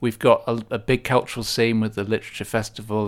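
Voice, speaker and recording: A man talks at a fairly quick pace in a fairly low pitch with monotone, flat intonation, on a very clean recording with a silent background. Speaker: town mayor, local councillor. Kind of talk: local radio interview. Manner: hesitant, with repeated words.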